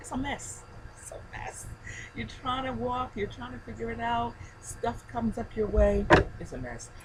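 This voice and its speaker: A woman at a moderate pace, big swings in loudness, audible room echo and noticeable background noise. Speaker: faith video blogger. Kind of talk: casual video blog. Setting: outdoors on a deck. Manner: soft-spoken.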